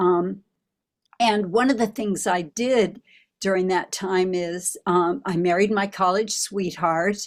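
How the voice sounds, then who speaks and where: The speaker has an American accent and ordinary pitch variation, talking at a very slow pace. The recording is very clean, with a silent background. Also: woman, medium pitch for a woman. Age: 70s. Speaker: recovering alcoholic, author, former band singer. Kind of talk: testimony.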